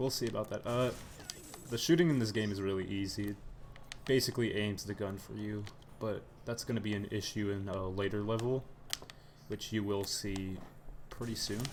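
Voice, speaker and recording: The quiet voice moves at a fairly quick pace with long, frequent pauses, over noticeable background noise. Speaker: gamer playing on stream. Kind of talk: gameplay commentary. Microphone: too quiet on stream.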